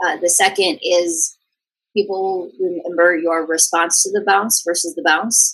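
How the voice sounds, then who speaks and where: A woman talks in an unremarkable speaking voice at a medium pitch. Her pace is fairly slow, with ordinary pitch variation. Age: 40s. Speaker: innovation hub CEO. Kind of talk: interview conversation.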